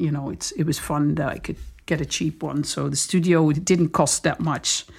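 This woman has a Dutch accent, a very deep, low pitch and vocal fry, speaking at a moderate pace on a very clean recording with a silent background. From southern Netherlands, between Den Bosch and Eindhoven. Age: 40s. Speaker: DJ and music producer. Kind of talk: casual chat.

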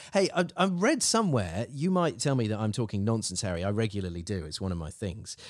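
A man's fairly low voice with an English accent, at a fairly quick pace, with very wide pitch swings. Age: 40s. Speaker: podcast host. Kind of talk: casual chat.

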